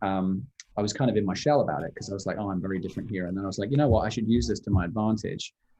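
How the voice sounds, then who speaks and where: A man with a British accent speaks very fast in a dark, mellow tone. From England. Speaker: musical theatre actor. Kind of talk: Q&A answers.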